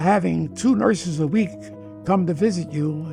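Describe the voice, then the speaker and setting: A man talks at a fairly slow pace with lively intonation. Music plays in the background. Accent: American. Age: 80s+. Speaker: war veteran; retired police detective. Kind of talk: interview answer.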